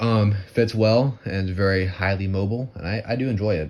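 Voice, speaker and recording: A man speaks with an American accent and fairly even intonation. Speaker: gear reviewer. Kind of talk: product review. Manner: fast; casual, halting with fillers.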